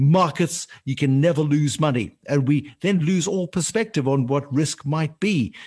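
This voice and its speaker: A man's fairly high, somewhat breathy voice at a moderate pace, with ordinary pitch variation over a quiet background. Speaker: podcast host, financial journalist. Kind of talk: interview.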